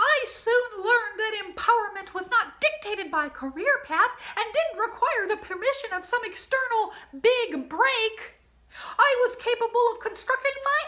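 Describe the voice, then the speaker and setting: A put-on character voice, female-sounding, extremely high in pitch, playful and deadpan in tone, at a moderate pace. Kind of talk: storytime reading with comic asides. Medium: read story. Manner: playful, sly deadpan asides.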